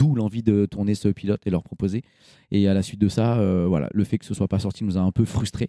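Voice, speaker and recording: A man's unremarkable speaking voice, fairly low in pitch, at a fairly quick pace with fairly even intonation. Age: 40s. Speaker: co-founder of a fathers' media channel. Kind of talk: casual chat.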